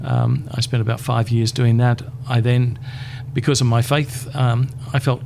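A man with an Australian accent speaks at a medium pitch and a moderate pace. His intonation is monotone and flat, with noticeable background noise behind him. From Queensland, Australia. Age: 60s. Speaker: community chaplaincy leader. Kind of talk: interview.

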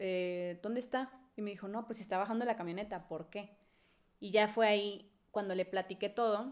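Here a woman talks in a normal speaking voice at a medium pitch. Her pace is moderate and her intonation fairly even. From Mexico, Monterrey. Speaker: podcast co-host. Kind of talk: casual chat.

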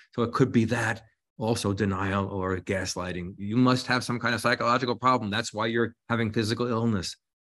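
Against a quiet background, a man with an ordinary speaking voice talks at a fairly quick pace, at a medium pitch and with fairly even intonation. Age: 60s. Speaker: psychology teacher and author. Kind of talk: interview conversation.

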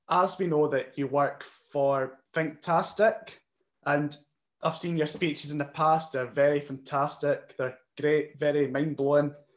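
Fairly high in pitch, a man speaks at a fairly slow pace. His intonation stays monotone and flat. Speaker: interviewer. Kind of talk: interview.

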